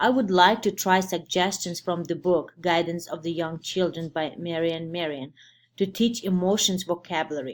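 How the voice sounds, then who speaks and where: A woman with a non-native accent speaks in a fairly low pitch at a moderate pace. The recording is very clean, with a silent background. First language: not English. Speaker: preschool teacher and student. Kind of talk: class presentation. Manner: halting.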